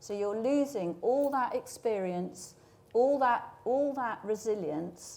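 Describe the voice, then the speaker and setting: At a very slow pace, a woman with an English accent speaks in a fairly high pitch with lively intonation. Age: 60s. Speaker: media industry leader. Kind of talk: panel discussion.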